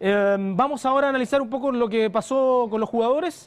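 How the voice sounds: A man's clear, smooth voice, extremely high in pitch, with ordinary pitch variation and a fairly quick pace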